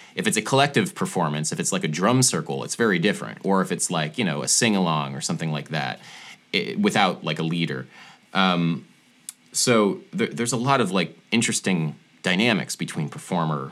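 A man talks at a very deep, low pitch with vocal fry. His pace is moderate. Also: lively intonation. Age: 30s. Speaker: musician and music theory video creator. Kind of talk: casual interview chat. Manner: hesitant, many fillers.

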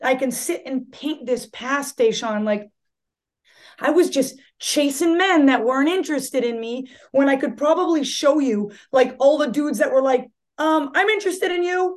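With an American accent, a woman speaks in a high pitch at a moderate pace. Her tone is animated and her intonation lively, against a quiet background. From Massachusetts. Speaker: yoga studio owner and instructor. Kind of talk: casual interview chat.

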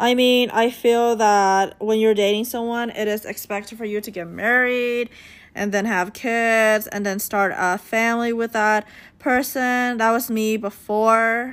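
A fairly high-pitched woman with an American accent, monotone, flat intonation and a fairly slow pace. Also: very clean recording, silent background. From United States. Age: 20s. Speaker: podcast host. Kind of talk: casual monologue.

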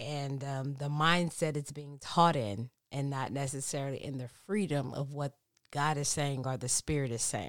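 Over a silent background on a very clean recording, a woman with a very deep, low pitch speaks at a fairly slow pace. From Texas. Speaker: pastor's kid, friend of host. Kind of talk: casual chat. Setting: home recording.

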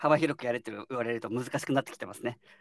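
With no echo and a dry, close sound, the words pour out very fast. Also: man. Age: 30s. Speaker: startup co-founder. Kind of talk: casual chat.

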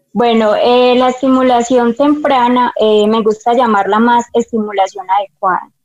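Dry and close with no echo, a woman's ordinary speaking voice comes at a moderate pace, fairly high in pitch with fairly even intonation. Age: 20s. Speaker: preschool teacher. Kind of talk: interview.

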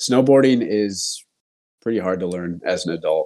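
With an American accent, a man speaks at a fairly slow pace. His voice is medium in pitch with a dark, mellow tone. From US West Coast, California East Bay. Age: 30s. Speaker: podcast host. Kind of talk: casual chat.

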